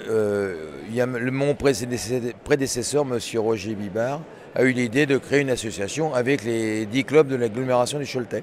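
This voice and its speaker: Over noticeable background noise, a man talks at a moderate pace. His pitch varies in an ordinary way. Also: medium pitch for a man. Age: 70s. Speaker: sports club president. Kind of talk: interview. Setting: at a sports event venue. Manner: halting, many fillers.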